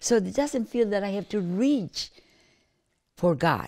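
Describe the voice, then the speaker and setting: A woman's dark, mellow tone with very wide pitch swings, on a very clean recording with a silent background. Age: 80s+. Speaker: grandmother sharing life wisdom. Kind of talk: reflective interview monologue. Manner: calm; halting, repeats words.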